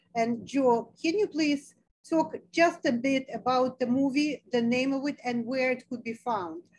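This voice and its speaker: Against a quiet background, a woman speaks at a high pitch. Her pace is fairly slow, with ordinary pitch variation. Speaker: foundation president and webinar moderator; webinar moderator. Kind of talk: webinar moderation. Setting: video call. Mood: warm, grateful. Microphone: video call.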